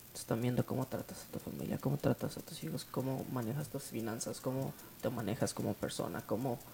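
A man speaks at a fairly quick pace in a medium pitch, his dark, mellow tone edged with vocal fry and his pitch varying in an ordinary way. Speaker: youth church leader. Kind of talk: casual chat. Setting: at home.

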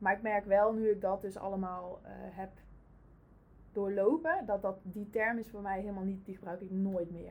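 Using a plain, everyday voice, a woman speaks at a medium pitch with fairly even intonation and big swings in loudness. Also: moderate pace. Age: 30s. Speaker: family constellation practitioner. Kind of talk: casual interview. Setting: in the host's office.

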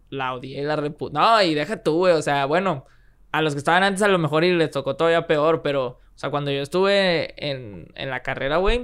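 The recording is very clean, with a silent background. A man with a fairly high pitch speaks at a moderate pace with ordinary pitch variation. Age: 20s. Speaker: freestyle rapper and engineer. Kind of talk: casual chat. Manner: animated.

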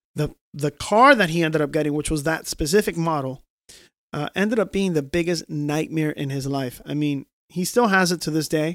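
Speaking at a moderate pace, a man has a fairly high pitch with ordinary variation and an ordinary speaking voice. The sound is dry and close with no echo, on a very clean recording with a silent background. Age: 30s. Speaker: podcast host. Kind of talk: casual chat.

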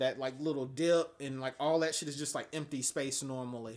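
A man is speaking. His pace is fairly quick. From Atlanta, Georgia. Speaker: photographer and military veteran. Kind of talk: casual interview.

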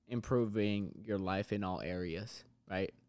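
This man's voice sits fairly low, with ordinary pitch variation. It is an ordinary speaking voice. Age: 20s. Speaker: fitness business owner. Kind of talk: casual interview.

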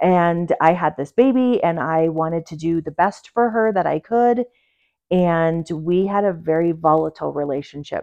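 A moderate pace and fairly low pitch from a female speaker. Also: ordinary pitch variation. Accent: slight New York. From New York, small town. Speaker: guest, mother and author. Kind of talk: casual chat.

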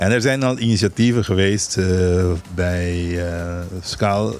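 A man speaks at a very slow pace in a very deep, low voice. His intonation stays fairly even. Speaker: island governor. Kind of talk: radio interview.

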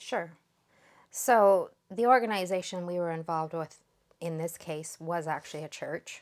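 A woman speaks in a normal speaking voice, fairly low in pitch with ordinary pitch variation. Her pace is moderate, and the recording is very clean with a silent background. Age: 50s. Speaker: survivor of spiritual abuse. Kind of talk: testimony.

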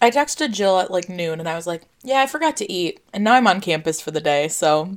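A woman at medium pitch, fairly quick pace and very wide pitch swings. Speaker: podcast co-host. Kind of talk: casual chat. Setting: video call.

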